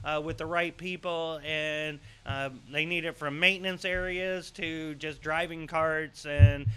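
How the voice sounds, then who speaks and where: A man's intonation stays fairly even while his pace is fairly slow. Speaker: local show host. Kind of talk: casual news show chat. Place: studio. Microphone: studio mic.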